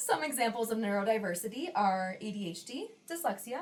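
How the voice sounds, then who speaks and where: A woman's fairly high voice with very wide pitch swings at a moderate pace, over noticeable background noise. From Western New York, US. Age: 20s. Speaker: podcast co-host, nurse practitioner. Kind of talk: casual podcast chat.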